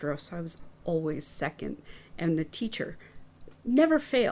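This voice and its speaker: On a very clean recording with a silent background, a woman with a fairly low voice speaks at a moderate pace. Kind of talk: casual chat. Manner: soft-spoken.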